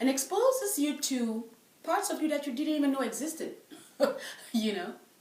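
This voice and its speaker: With a French accent, a woman speaks at a high pitch and a moderate pace with lively intonation, and room echo is audible. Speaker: French professor. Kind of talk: interview.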